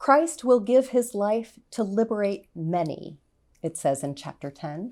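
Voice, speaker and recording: On a very clean recording with a silent background, a woman of medium pitch speaks at a very slow pace with very wide pitch swings. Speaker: pastor. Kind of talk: sermon.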